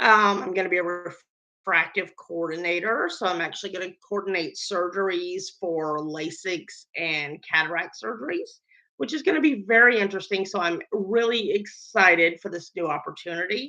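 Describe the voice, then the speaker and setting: The woman's voice has a bright, sharp tone and a Southern US accent. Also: medium pitch for a woman, ordinary pitch variation, moderate pace, hardly any pauses. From US South (Georgia and Florida). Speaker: baker and medical worker. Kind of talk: casual vlog talk. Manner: casual with fillers.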